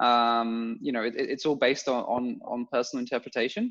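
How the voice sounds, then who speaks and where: A man speaks with a London accent. Behind him the background is quiet. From London, England (Bulgarian family). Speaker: podcast co-host, entrepreneur. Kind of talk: casual chat. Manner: halting.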